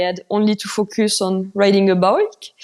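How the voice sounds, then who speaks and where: A woman speaks with a French accent. Her pitch sits in the medium range. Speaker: mountain bike racer. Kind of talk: podcast interview.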